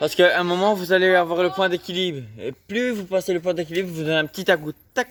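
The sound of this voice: A man with a high pitch speaks at a fairly quick pace.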